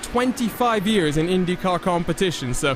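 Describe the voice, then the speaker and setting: A man with a high voice speaks at a moderate pace, his pitch swinging very widely, over noticeable background noise. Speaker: sim racing broadcaster, commentator and host. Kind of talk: live broadcast commentary with sponsor tagline and banter.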